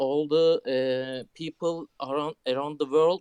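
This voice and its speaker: In a Turkish accent, a man with a fairly high voice and a dark, mellow tone speaks at a very slow pace. His intonation is fairly even, and the sound is dry and close with no echo. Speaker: caller. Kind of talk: casual chat. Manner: halting.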